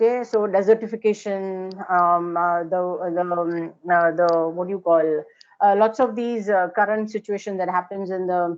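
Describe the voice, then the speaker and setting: A woman with an Indian accent talks at a moderate pace. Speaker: architecture lecturer. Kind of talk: lecture. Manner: hesitant, many fillers.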